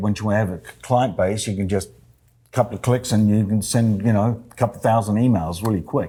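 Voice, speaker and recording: With an Australian accent, a man speaks in a fairly low, dark, mellow voice with fairly even intonation on a very clean recording with a silent background. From Australia, Adelaide. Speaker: real estate agent. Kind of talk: interview. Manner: halting.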